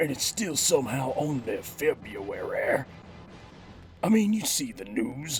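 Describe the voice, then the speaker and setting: Over clear background noise, a man uses a put-on character voice that is raspy and fairly slow. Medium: audio drama. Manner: slangy, swaggering, rhyming.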